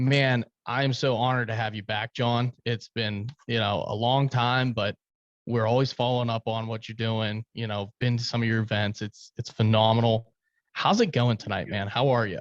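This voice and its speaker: A moderate pace with monotone, flat intonation and a dry, close sound with no echo. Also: man, medium pitch for a man. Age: 30s. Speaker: podcast host. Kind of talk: casual chat.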